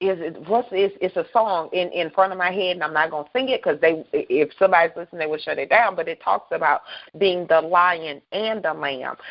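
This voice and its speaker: Animated and fairly quick, a woman with a Southern US accent and a fairly low pitch talks with hardly any pauses. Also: ordinary pitch variation. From US South, South Carolina. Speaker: radio host. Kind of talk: casual chat. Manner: loud.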